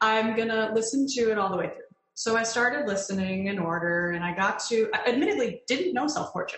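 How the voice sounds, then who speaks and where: A woman with an American accent and a normal speaking voice talks at a fairly quick pace, fairly high in pitch, with lively intonation. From Connecticut, US. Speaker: mezzo-soprano singer. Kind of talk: casual interview chat.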